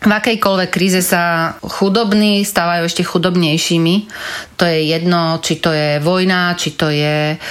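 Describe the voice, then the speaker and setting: Using an unremarkable speaking voice, a woman talks at a fairly slow pace, fairly low in pitch, with fairly even intonation. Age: 40s. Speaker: former charity marketing head. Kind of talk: interview.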